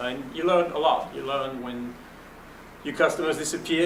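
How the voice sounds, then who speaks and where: A man with a French accent talks at a fairly quick pace and fairly high pitch. There is audible room echo and noticeable background noise. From Belgium. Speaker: venture capitalist. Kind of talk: panel talk, fireside chat. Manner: conversational with fillers.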